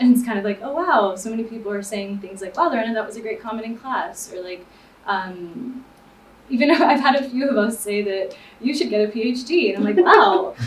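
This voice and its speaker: Fairly quick speech in an American accent, with audible room echo and noticeable background noise. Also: woman, big swings in loudness. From Miami, Florida. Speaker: graduate student panelist. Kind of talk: panel discussion.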